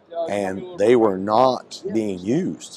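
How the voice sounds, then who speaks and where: An ordinary speaking voice from a man, fairly low-pitched, with lively intonation. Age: 40s. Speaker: fire captain and trainer. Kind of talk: interview. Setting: trade expo.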